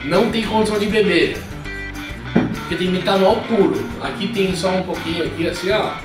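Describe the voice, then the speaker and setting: A man's high-pitched voice with clear music in the background and audible room echo. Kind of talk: casual vlog chat. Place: home room. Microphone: camera far.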